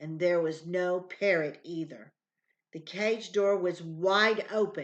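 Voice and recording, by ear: Quiet background and reading aloud in a natural voice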